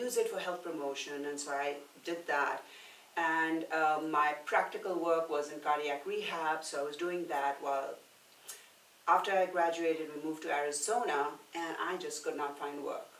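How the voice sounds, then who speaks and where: Over noticeable background noise and audible room echo, a woman speaks at a moderate pace with a very deep, low pitch and fairly even intonation. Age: 60s. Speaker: personal trainer and nutrition coach. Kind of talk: casual podcast interview. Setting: podcast recorded at a brewery.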